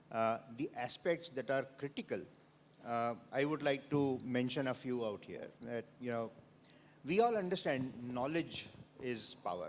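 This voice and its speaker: With an Indian accent, a man speaks at a fairly slow pace in a fairly high pitch that shows ordinary variation. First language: Odia. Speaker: panelist. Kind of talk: panel discussion. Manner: hesitant, many fillers.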